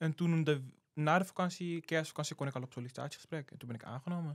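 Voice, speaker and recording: A man speaks at a fairly high pitch and a very fast pace. His intonation is fairly even, and the sound is dry and close with no echo. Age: 18. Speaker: student intern. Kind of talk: casual interview.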